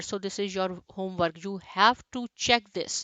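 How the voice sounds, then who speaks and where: A woman with an unremarkable speaking voice, ordinary pitch variation and a moderate pace. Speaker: programming instructor. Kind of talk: tutorial.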